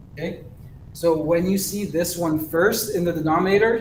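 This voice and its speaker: A man's high-pitched voice with ordinary pitch variation and audible room echo. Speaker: math teacher. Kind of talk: lecture. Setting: recorded online class.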